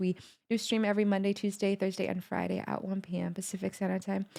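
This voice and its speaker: Over noticeable background noise, a woman with a non-native accent talks at a very fast pace in an animated tone at medium pitch. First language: not English. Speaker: music reaction youtuber. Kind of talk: video reaction commentary.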